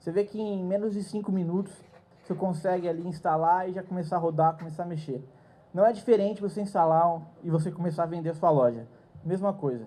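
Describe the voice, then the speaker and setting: A man speaks very fast in a high pitch with a dark, mellow tone. His pitch varies in an ordinary way, and room echo is audible. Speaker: conference speaker. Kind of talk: lecture. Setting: stage with audience.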